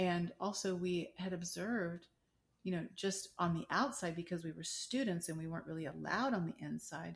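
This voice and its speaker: Somewhat breathy and fairly low in pitch, a woman talks at a moderate pace with ordinary pitch variation. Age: 60s. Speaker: midwife. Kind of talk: interview conversation.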